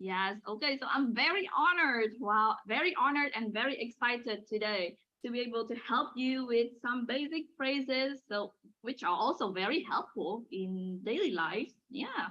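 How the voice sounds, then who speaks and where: Using lively intonation, a woman with a northern Vietnamese accent speaks at a high pitch. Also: moderate pace. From Hanoi, northern Vietnam. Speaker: language teacher. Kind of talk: lesson. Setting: video call.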